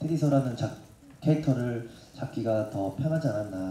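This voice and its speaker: The pitch varies in an ordinary way. Echo from the room is audible. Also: man. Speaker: singer and actor. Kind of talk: press conference answer. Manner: hesitant, polite. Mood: polite, calm, slightly nervous. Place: hall.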